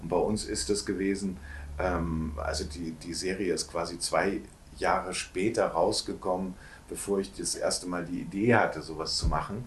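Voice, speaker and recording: Moderate-paced speech from a man with a very deep, low pitch and fairly even intonation. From northern Germany, Hamburg. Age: 50s. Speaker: actor and postcard publisher. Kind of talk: casual interview. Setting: shop.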